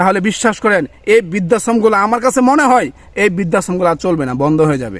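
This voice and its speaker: A man's high voice rises and falls with lively intonation. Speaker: social media commentator. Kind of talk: opinion monologue. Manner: animated.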